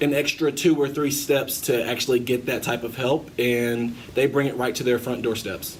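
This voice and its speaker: Noticeable background noise sits under this man's voice. He talks at a fairly slow pace with a medium pitch and fairly even intonation. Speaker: student interviewer. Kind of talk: interview.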